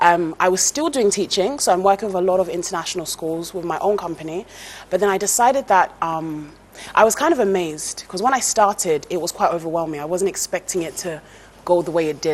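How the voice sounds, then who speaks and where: Speaking very fast at a fairly low pitch, a woman is heard against noticeable background noise. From England. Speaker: TV presenter and former teacher. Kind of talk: interview.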